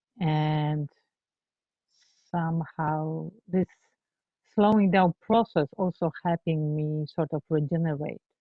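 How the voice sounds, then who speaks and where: A woman with a non-native accent speaks at a very slow pace in a very deep, low voice, fairly even in intonation and broken by long, frequent pauses. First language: not English. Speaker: empathy circle facilitator. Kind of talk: group sharing in training session. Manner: halting.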